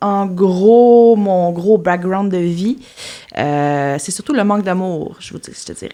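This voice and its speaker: Very slowly, a woman speaks at a medium pitch with ordinary pitch variation and big swings in loudness, over noticeable background noise. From Quebec, Témiscamingue. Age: 30s. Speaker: podcast guest. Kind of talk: interview, personal testimony. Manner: halting, many fillers and repetitions.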